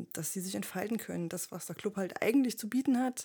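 A woman speaks in a dark, mellow tone. The recording is very clean with a silent background. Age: 30s. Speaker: veterinarian and club member. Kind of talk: casual chat.

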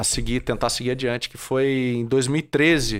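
At a fairly slow pace, a man speaks in an ordinary speaking voice at medium pitch with fairly even intonation. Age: 30s. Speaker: franchise owner and entrepreneur. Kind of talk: casual interview.

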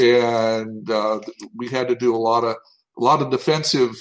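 A man with an American accent speaks in a plain, everyday voice. His medium pitch shows ordinary pitch variation. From US South, Tennessee. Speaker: TV animation writer and show creator. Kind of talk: interview.

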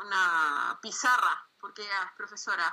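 Very slow speech from a woman with a Chilean accent, bright and sharp in tone, with ordinary pitch variation. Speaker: comic artist. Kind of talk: interview.

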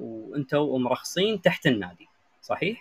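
A man speaks in a normal speaking voice at a moderate pace. His intonation is lively. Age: young. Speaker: live chat room host. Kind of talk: interview.

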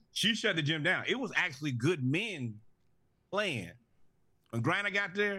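Here a man with a bright, sharp tone lets his pitch swing very widely. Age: 20s. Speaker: sports podcast co-host. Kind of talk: casual chat.

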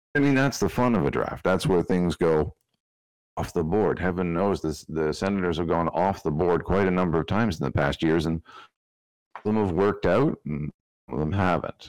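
A man with a very deep, low voice and vocal fry speaks at a fairly quick pace with lively intonation and very even loudness, in a dry, close sound with no echo over a quiet background. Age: middle-aged. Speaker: hockey podcaster. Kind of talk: casual chat.

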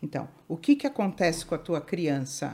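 In a dark, mellow tone, a woman with a fairly low pitch speaks at a fairly slow pace on a very clean recording with a silent background. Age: 60s. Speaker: family constellation therapist. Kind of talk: interview.

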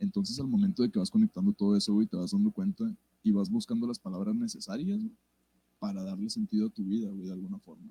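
A man's fairly high, somewhat breathy voice with a dark, mellow tone, very fast, with very wide pitch swings and big swings in loudness in a dry, close sound with no echo. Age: 20s. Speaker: musician. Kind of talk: casual chat. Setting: live stream.

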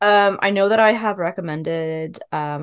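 A woman speaks in a British accent with ordinary pitch variation. The background is quiet. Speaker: podcast co-host. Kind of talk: casual chat.

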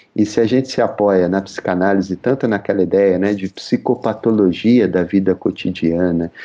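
Speaking at a moderate pace in a normal speaking voice, a man with a fairly low pitch keeps his intonation fairly even. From São Paulo (Zona Leste), Brazil. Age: 40s. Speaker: psychoanalyst. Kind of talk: interview.

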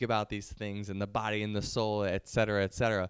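In an ordinary speaking voice, a man with a fairly low pitch talks at a moderate pace on a very clean recording with a silent background and a dry, close sound with no echo. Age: 20s. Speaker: YouTuber and entrepreneur. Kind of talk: casual monologue to camera.

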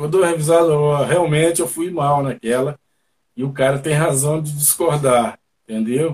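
At a moderate pace, a man with a fairly high, somewhat breathy voice talks in fairly even intonation. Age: 60s. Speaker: reggae musician. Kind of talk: casual interview. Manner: hesitant, repetitive fillers.

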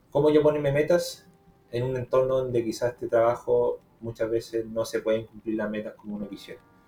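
A man at medium pitch and a fairly quick pace, with fairly even intonation and noticeable background noise. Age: 20s. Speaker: podcast host on trading and personal growth. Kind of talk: casual chat.

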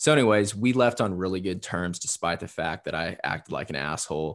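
With an American accent, a man speaks at a moderate pace in a very deep, low pitch against a quiet background. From US Midwest, southern Indiana. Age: 20s. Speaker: copywriter and poet. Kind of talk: casual interview chat.

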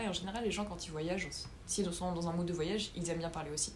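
A woman talks at a very fast pace with ordinary pitch variation. Audible room echo and noticeable background noise fill the recording. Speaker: former university student. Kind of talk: casual chat.

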